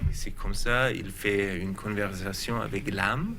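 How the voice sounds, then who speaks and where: With a German accent, a man talks at a very slow pace in a medium pitch with ordinary pitch variation. Room echo can be heard. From Germany. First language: German (speaking French). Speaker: researcher. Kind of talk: TV talk show interview. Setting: TV studio. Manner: halting, hesitant.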